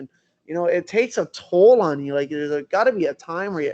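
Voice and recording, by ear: A man talks at a fairly quick pace. His intonation is lively and his tone slightly mellow. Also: fairly high pitch for a man.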